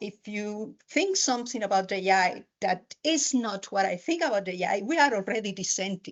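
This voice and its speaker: A woman speaks at a moderate pace in a Spanish accent. Her fairly high voice has lively intonation. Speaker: university lecturer. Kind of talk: conference talk. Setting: lecture hall with audience, hybrid event. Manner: halting.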